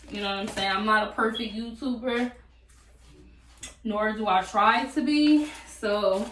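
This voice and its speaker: Speaking at a fairly slow pace, a woman with a fairly high pitch is heard over audible room echo. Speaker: YouTuber. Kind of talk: cooking tutorial. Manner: casual, chatty.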